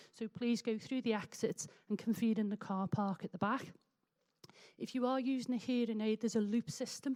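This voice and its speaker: A woman with a Liverpool accent speaks in a fairly high, dark and mellow voice with fairly even intonation. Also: moderate pace, dry, close sound with no echo. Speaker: meeting chairperson. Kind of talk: public meeting chairing. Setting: public meeting in a hall with audience.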